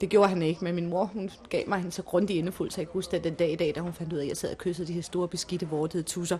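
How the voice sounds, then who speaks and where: Delivered fairly quickly, the speech holds a flat, monotone intonation. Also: woman. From Denmark. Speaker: restaurant owner's wife. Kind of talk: interview.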